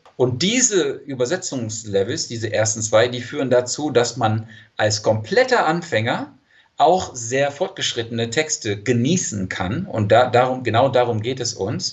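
Here a man talks at a fairly slow pace. His pitch is medium, with ordinary pitch variation. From California, San Diego. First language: English (speaking German). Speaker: language teacher and polyglot coach. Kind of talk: interview.

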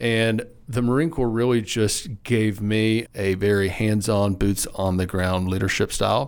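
Speaking fairly slowly with hardly any pauses, a man in a Southern US accent has a fairly low pitch, ordinary pitch variation and very even loudness. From Arkansas, Lonoke County. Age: 30s. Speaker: wildlife agency director. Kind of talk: interview.

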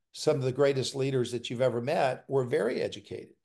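A man with a Southern US accent speaks in a dark, mellow tone at a fairly high pitch over a quiet background. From US South, South Carolina. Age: 60s. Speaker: pastor and former university president. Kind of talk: interview.

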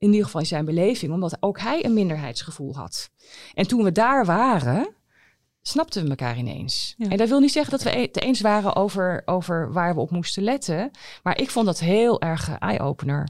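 The recording is very clean, with a silent background. A woman speaks at a moderate pace and medium pitch, her voice swinging very widely in pitch. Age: 50s. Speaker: internist and professor of medicine. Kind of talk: podcast interview.

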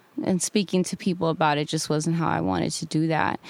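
Recorded very cleanly against a silent background, a woman speaks in a normal speaking voice with an American accent, fairly low in pitch and fairly even in intonation. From Baldwin Park, Southern California. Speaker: rapper. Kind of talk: interview.

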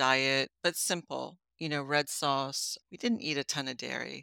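Her voice has a bright, sharp tone, and this woman keeps a fairly slow pace. The recording is very clean, dry and close, with a silent background and no echo. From US, raised by Italian immigrant parents. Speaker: health coach and former molecular biologist. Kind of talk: interview conversation.

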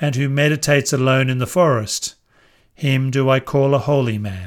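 A man at a medium pitch, with an unremarkable speaking voice, ordinary pitch variation and a fairly slow pace. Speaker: scripture narrator. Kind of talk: scripture audiobook reading, verses read aloud. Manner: measured, calm, formal; slow, even, meditative pacing.

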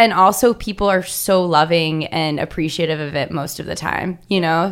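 With an ordinary speaking voice, a woman speaks at a moderate pace with a fairly low pitch and ordinary pitch variation. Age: 20s. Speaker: herbalist and small business founder. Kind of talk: interview. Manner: casual, with fillers.

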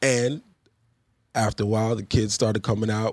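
Dry and close with no echo, a man's fairly low voice moves at a fairly quick pace. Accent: New York. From Queens, New York, then Long Island. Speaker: basketball referee. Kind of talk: casual interview.

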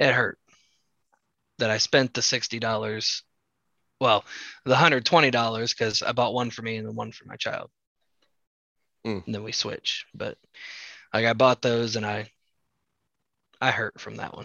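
A man uses a raspy, put-on character voice at medium pitch with fairly even intonation. He goes at a fairly slow pace with long, frequent pauses. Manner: disappointed, hurt.

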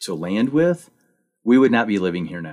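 This is a normal speaking voice with an American accent and lively intonation. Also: man. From Missouri. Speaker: podcast host. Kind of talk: radio interview.

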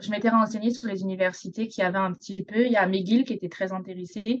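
A woman speaks in a normal speaking voice at medium pitch and a moderate pace, with fairly even intonation. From southern France, Côte d'Azur. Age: 20s. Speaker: university swimmer. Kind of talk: radio interview.

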